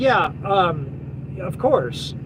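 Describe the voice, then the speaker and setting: A man speaks over noticeable background noise. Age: 40s. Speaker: truck driver and live-stream host. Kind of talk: live stream chat reading viewer comments. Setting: live stream video at home. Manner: casual, rambling with many fillers.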